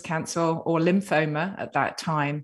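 Against a quiet background, a woman with an English accent speaks in a fairly low pitch with monotone, flat intonation. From Britain. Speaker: author and cancer survivor. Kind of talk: interview.

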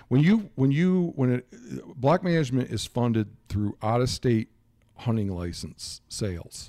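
In an American accent, a man speaks fairly slowly at a medium pitch, his tone dark and mellow. His pitch swings very widely, on a very clean recording with a silent background. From Michigan. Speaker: research ecologist and hunting advocate. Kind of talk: interview.

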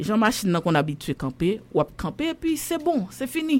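A woman speaks at a moderate pace with a fairly high pitch. Her voice swings very widely in pitch. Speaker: journalist. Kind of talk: casual chat.

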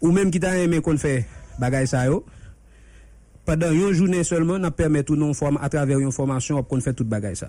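The voice has a dark, mellow tone and ordinary pitch variation, moving at a fairly quick pace with long, frequent pauses. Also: man, fairly high pitch for a man. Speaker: vocational trainer. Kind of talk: radio interview. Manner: fast.

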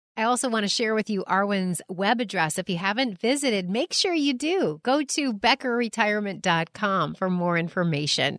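With a normal speaking voice at a medium pitch, a woman talks at a moderate pace with hardly any pauses, lively intonation and very even loudness, in a dry, close sound with no echo. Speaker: radio host. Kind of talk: radio interview host.

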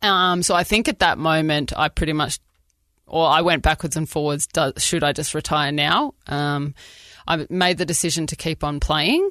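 This woman's pitch is very deep and low. The recording is dry and close, with no echo. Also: quiet background. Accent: Australian. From Australia. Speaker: former professional netball player. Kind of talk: casual chat. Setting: studio.

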